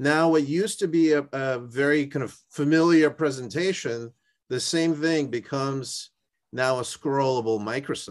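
Over a quiet background, the speaker goes at a moderate pace with ordinary pitch variation. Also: man. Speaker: startup founder pitching a product. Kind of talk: investor pitch and product demo. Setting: video call. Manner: energetic. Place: home room. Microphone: video call.

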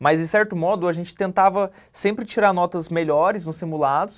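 A man with a high pitch speaks at a fairly quick pace over a quiet background. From Brazil, Minas Gerais (Araújos); Minas Gerais, Brazil. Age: 20s. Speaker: police clerk, exam candidate; candidate. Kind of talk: interview. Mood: calm, reflective. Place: studio. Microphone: lapel.

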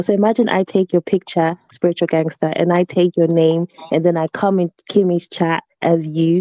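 In dry sound with no echo, a woman's fairly low voice has a dark, mellow tone and fairly even intonation. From not originally from the UK. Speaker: livestream caller; caller. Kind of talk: casual chat. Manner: halting. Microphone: video call.

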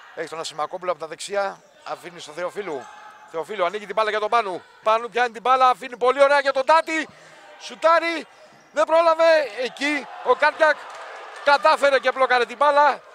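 Over noticeable background noise, a raised, projected voice moves at a moderate pace with very wide pitch swings and big swings in loudness. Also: man, extremely high pitch for a man. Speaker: sports commentator. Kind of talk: live sports commentary. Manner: shouts goals with English exclamations, then turns subdued.

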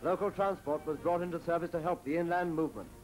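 Music plays in the background as the speaker talks at a very fast pace. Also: man. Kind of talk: newsreel narration. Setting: archival recording.

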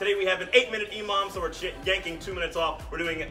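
Clear music plays behind a man as he speaks. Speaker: fitness coach. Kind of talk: workout instruction. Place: gym. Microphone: camera far.

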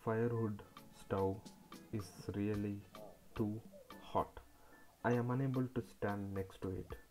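A man at a fairly slow pace, fairly low in pitch, with faint music in the background. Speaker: travel vlogger. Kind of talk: casual vlog chat. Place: workshop.

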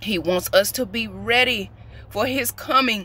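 A woman with vocal fry and a bright, sharp tone speaks at a very slow pace, her fairly high pitch showing ordinary variation in a dry sound with no echo. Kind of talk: prophetic sermon. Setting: outdoors. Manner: emphatic, repetitive. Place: car. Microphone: phone near.

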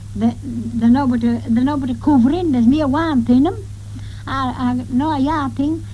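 The speaker talks at a moderate pace with a North Yorkshire accent. Noticeable background noise runs underneath. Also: woman. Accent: broad North Yorkshire dialect. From North York Moors, northern England. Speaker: farm worker and domestic servant. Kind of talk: interview answer.

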